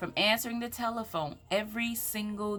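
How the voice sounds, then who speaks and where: Music plays in the background as a woman with a Southern US accent speaks in an animated tone. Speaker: motivational speaker. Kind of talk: motivational talk.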